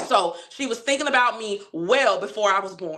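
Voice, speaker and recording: A woman speaks in an animated tone at a medium pitch. Her intonation is lively. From Chicago, West Side (Austin). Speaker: community activist, livestream host. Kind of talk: casual livestream talk. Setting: livestream.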